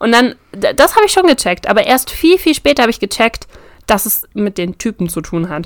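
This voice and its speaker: A woman's fairly high voice at a fairly quick pace, with very wide pitch swings. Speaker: podcast host. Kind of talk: casual chat.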